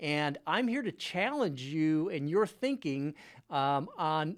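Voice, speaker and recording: A man with an ordinary speaking voice talks at a fairly high pitch with lively intonation in a very clean recording with a silent background. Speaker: car dealership technology company CEO. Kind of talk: product demo narration, screen-share presentation. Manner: casual, conversational.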